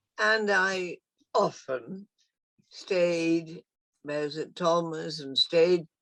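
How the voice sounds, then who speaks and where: Very slow in pace, a woman speaks with long, frequent pauses. Her pitch varies in an ordinary way. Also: dry, close sound with no echo. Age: 80s+. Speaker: mother of a former resident. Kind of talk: casual reminiscence on a video call. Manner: animated.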